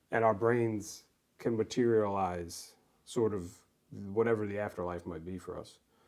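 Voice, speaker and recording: With an American accent, a man speaks at a moderate pace in a fairly low pitch and fairly even intonation, his loudness swinging widely amid long, frequent pauses on a very clean recording with a silent background. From New York (Mount Vernon, near the Bronx). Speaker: poet. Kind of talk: casual chat. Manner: halting.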